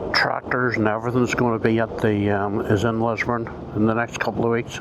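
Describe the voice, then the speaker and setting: With noticeable background noise, a man speaks at medium pitch and a fairly quick pace, his intonation monotone and flat and his loudness very even. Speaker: scooter rider vlogger. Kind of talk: casual talk to camera. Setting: in-helmet mic on the road.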